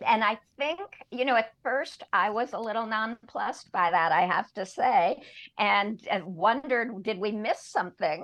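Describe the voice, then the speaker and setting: A woman with an ordinary speaking voice, fairly high in pitch, with lively intonation at a moderate pace. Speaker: professor and storyteller, co-host. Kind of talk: casual commentary and discussion. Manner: conversational, thoughtful, with fillers.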